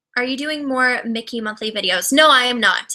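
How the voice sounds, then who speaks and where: Bright and sharp in tone, a woman with a fairly high voice and a Californian accent talks at a very fast pace. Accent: flat, bright Californian. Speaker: YouTuber. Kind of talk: casual livestream chat. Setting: livestream video. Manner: trips on words.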